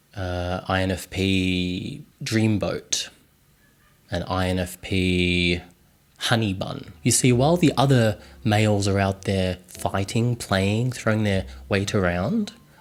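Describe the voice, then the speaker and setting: In a deadpan tone, a man with a fairly low voice talks at a very slow pace. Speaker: video blogger. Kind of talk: humorous personal vlog.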